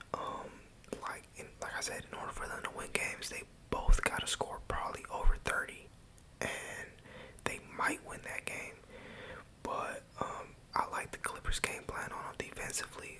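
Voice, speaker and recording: A man whispers at a moderate pace, with long, frequent pauses. His loudness swings widely over noticeable background noise. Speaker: college student. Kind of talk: ASMR ramble. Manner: whispered.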